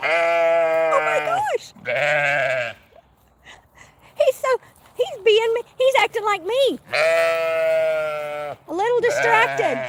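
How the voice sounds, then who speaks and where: A woman speaks in a Southern US accent. There is noticeable background noise. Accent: southern twang. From Oklahoma. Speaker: YouTube homesteading vlogger. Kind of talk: casual live stream chat.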